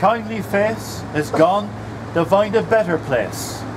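Very slow speech from a man with a high pitch and very wide pitch swings, amid noticeable background noise. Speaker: poetry reader at a commemoration. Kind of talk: dialect poetry reading. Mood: gentle, commemorative. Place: street.

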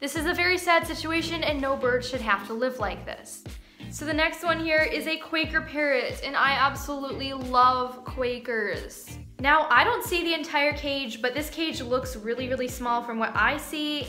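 Clear music plays in the background as a woman speaks in a raised, projected voice. Her pace is moderate and her pitch varies in an ordinary way. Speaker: pet bird vlogger. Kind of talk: reaction commentary. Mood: concerned, earnest. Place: home room.

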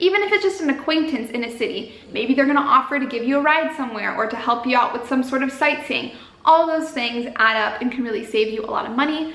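A woman's high voice rushes along at a very fast pace with hardly any pauses, carrying audible room echo. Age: 20s. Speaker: YouTuber, travel vlogger. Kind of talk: casual vlog advice talk. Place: home room.

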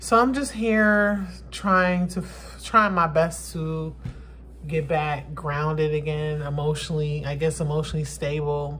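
There is light background noise. A woman talks at a fairly slow pace. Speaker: vlogger. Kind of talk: casual vlog chat. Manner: low, flat, weary depressed voice. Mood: subdued, emotional. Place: home room. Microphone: phone near.

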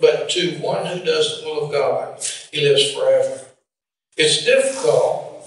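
A man's fairly slow speech carries audible room echo. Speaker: preacher. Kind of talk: sermon. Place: church.

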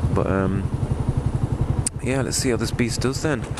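Loud background noise sits under a man who talks at a fairly quick pace, with a dry sound and no echo. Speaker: motorbike rider vlogger. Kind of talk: casual vlog chat. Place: motorbike. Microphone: helmet.

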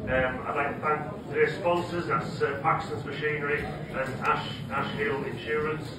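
Speech with hardly any pauses comes through audible room echo and loud background noise. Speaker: auction mart official giving thanks. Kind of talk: ceremonial speech with thank yous. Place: hall.

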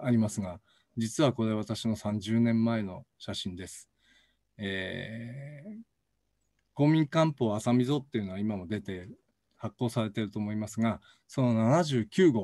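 A man's dark, mellow tone rises and falls in big swings of loudness. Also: medium pitch for a man, ordinary pitch variation, fairly slow pace. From Hokkaido. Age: 60s. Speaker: professor. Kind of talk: lecture. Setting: recorded video, no live audience.

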